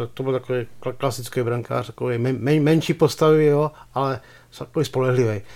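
This is an ordinary speaking voice. The intonation stays fairly even. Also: man, medium pitch for a man, fairly quick pace. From Czech Republic, Pardubice. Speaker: sports journalist. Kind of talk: casual chat.

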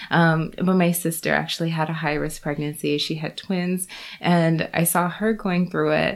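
A woman with an American accent talks in a fairly low pitch. Her intonation is monotone and flat, at a moderate pace. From US, Florida. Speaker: obstetrician-gynecologist. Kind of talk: casual interview.

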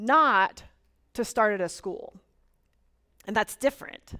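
A woman with an American accent speaks at a very slow pace. The recording is very clean, with a silent background. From Florida. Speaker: pastor. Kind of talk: sermon. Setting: church.

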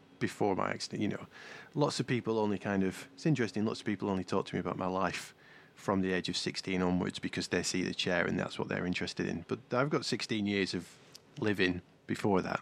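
A man with vocal fry talks at a fairly quick pace and a fairly low pitch in a very clean recording with a silent background. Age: 40s. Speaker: podcast co-host, paraplegic surfer. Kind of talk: casual chat.

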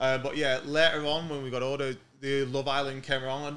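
A man with a Manchester accent speaks at a medium pitch with fairly even intonation. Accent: northern English, Manchester. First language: English, from an Italian family. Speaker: podcast guest, TV cook.

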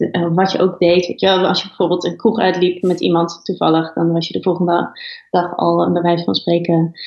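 A woman talks in a normal speaking voice at a moderate pace. Her pitch is fairly low and her intonation fairly even. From Twente (Oldenzaal), Netherlands. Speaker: editor-in-chief of an online platform. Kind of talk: interview.

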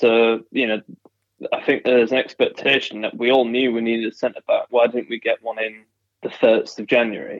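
Speaking at a moderate pace, a man talks with a Yorkshire accent. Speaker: football fan guest. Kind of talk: casual chat.

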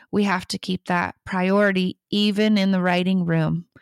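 A woman with an American accent in monotone, flat intonation, on a very clean recording with a silent background and a dry, close sound with no echo. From US Midwest, Michigan. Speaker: songwriter. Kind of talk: interview. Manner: hesitant, many fillers.

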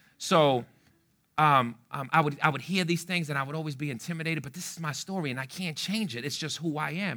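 Talking very fast in a fairly high, bright, sharp voice with ordinary pitch variation, a man is heard on a very clean recording with a silent background. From New York City, South Bronx. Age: 30s. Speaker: pastor. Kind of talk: sermon.

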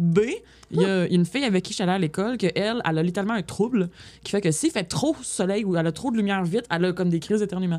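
Talking at a very fast pace, a woman uses lively intonation at a medium pitch. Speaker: podcast guest, tabletop gamer. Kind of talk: casual chat.

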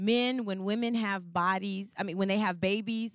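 In a very clean recording with a silent background and a dry, close sound with no echo, a woman with an unremarkable speaking voice talks at medium pitch and a fairly slow pace with fairly even intonation. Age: 40s. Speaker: pastor's wife. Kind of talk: sermon.

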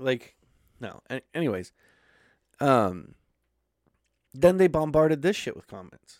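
A man's fairly slow speech with very wide pitch swings, big swings in loudness and long, frequent pauses. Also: fairly high pitch for a man. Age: 30s. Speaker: podcast host. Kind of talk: casual chat.

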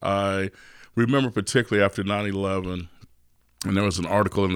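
In a Texas accent, the speaker comes through on a very clean recording with a silent background. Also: man. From Texas, East Austin. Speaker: restaurant owner and chef. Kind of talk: interview.

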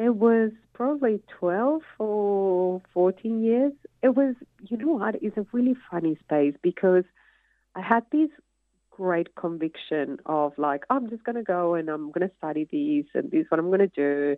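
Her medium pitch takes very wide swings as a woman speaks at a moderate pace. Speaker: creative director and retail executive. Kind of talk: casual interview.

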